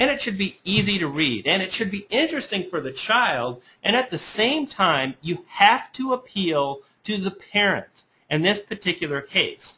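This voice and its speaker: A man speaks in a raised, projected voice at high pitch. His tone is bright and sharp, with very wide pitch swings. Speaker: internet marketing webinar presenter. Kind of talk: webinar presentation. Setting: webinar. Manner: fast; animated.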